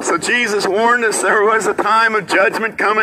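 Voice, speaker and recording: A man's high, raised, projected voice at a moderate pace, over noticeable background noise. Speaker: street preacher. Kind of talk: street sermon delivered outdoors to passersby. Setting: outdoors in a city plaza. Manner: fervent, exhortatory. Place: street.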